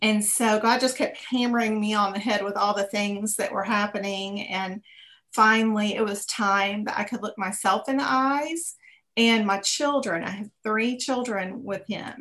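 A woman with a Texan accent speaks at a fairly high pitch in a bright, sharp tone. Her pace is moderate and her pitch varies in an ordinary way. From Texas. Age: 50s. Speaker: businesswoman. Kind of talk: interview. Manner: halting.

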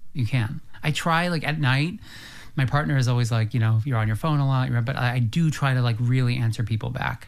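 An unremarkable speaking voice talks at a fairly quick pace. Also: man, medium pitch for a man, ordinary pitch variation, very even loudness. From US, rural farm. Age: 30s. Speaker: lifestyle expert and brand builder. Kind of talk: casual chat.

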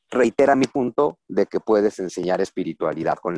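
Dry, close and free of echo, the recording holds a man with a Mexican accent speaking fairly quickly at a fairly low pitch with lively intonation. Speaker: historian and writer. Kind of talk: interview conversation.

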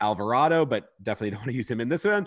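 Over a quiet background, a man talks with very wide pitch swings. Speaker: baseball analyst. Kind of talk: excited post-game sports discussion.

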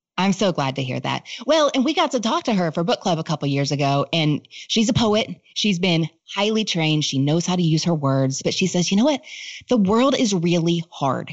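This woman's voice sits fairly low in pitch and swings very widely up and down. She speaks at a fairly quick pace. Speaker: author and book recommender. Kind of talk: casual chat. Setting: video call.

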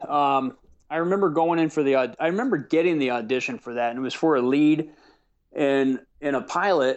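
A man with a plain, everyday voice and an American accent talks at a fairly quick pace, his fairly high pitch showing ordinary pitch variation. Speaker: actor and producer. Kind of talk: casual interview chat.

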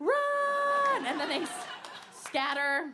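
Very wide pitch swings in a woman's raised, projected voice with a bright, sharp tone. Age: 30s. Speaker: stand-up comedian. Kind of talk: stand-up. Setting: stage with audience.

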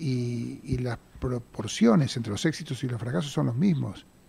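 A man speaks at a medium pitch with lively intonation and a somewhat breathy sound. His pace is fairly slow. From Buenos Aires, Argentina (Mataderos). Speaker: theater producer. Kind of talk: radio interview. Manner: halting, with repetitions and fillers.

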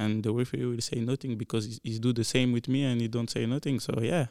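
In a very clean recording with a silent background, a man at a medium pitch speaks at a very fast pace. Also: dry, close sound with no echo. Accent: French. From Belgium. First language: French. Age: 20s. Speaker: professional soccer player. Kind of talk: casual interview. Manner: halting, non-native English.

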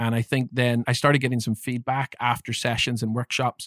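In a Northern Irish accent, a man speaks at a moderate pace and medium pitch with monotone, flat intonation, the sound dry and close with no echo on a very clean recording with a silent background. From Northern Ireland, Belfast. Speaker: leadership development coach. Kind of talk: interview conversation.

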